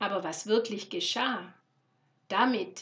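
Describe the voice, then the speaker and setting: A woman's very slow speech with fairly even intonation. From Swabia, Germany (Lorch near Stuttgart). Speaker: podcast host, travel and Nepal. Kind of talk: personal storytelling monologue.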